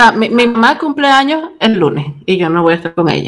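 Speaking at a fairly quick pace with a slight Chilean accent, the voice makes very wide pitch swings. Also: woman. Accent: Chilean-tinged. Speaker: podcast host and writer. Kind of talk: casual chat. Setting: video call.

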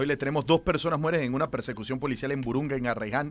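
This is a man with a normal speaking voice. His pitch is medium. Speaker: news presenter. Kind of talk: news reading.

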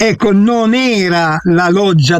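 A man talks with lively intonation. Noticeable background noise can be heard. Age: 80s. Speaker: guest, former maths teacher. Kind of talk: heated debate.

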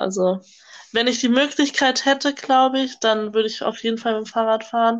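A woman's ordinary speaking voice at a moderate pace, with fairly even intonation, against a quiet background. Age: young. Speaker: au pair, podcast co-host. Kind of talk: casual chat. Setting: video call.

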